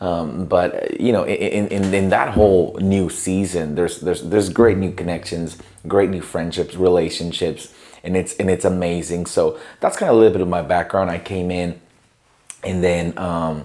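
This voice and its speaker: In a Spanish accent, a man speaks at a moderate pace with a very deep, low pitch, a dark, mellow tone and monotone, flat intonation. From Mexico, Tijuana. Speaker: pastor. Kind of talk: interview.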